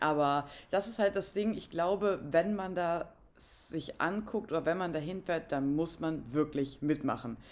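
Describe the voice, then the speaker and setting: With a plain, everyday voice, a woman of fairly low pitch speaks at a fairly slow pace with ordinary pitch variation on a very clean recording with a silent background. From northern Germany. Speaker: podcast co-host. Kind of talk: casual chat.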